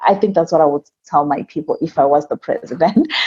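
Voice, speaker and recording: In an African accent, a woman speaks with a dark, mellow tone and a dry, close sound with no echo. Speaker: immigrant guest, seminar speaker. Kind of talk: interview.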